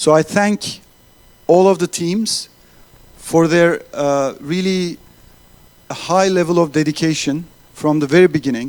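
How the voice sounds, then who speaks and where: A man with a Turkish accent, high in pitch, at a fairly slow pace with ordinary pitch variation and long, frequent pauses. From Turkey. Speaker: accelerator organizer. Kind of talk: closing speech. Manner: halting.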